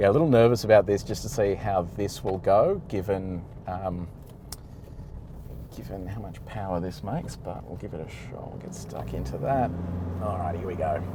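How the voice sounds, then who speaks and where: A man with an Australian accent speaks at a very deep, low pitch with lively intonation and big swings in loudness. He leaves long, frequent pauses, and the room echo is audible. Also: moderate pace. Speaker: car reviewer. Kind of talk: driving commentary. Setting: in a car towing a trailer. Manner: casual, hesitant with fillers.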